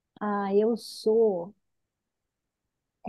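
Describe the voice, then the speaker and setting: A woman in a Minas Gerais accent with monotone, flat intonation. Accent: drawling Minas Gerais. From Minas Gerais / interior of Rio de Janeiro state, Brazil. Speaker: executive development consultant. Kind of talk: interview.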